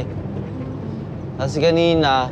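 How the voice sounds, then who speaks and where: A man's voice comes through dry with no echo, amid noticeable background noise. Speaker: truck driver vlogger. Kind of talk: casual vlog chat. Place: car. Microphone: camera far.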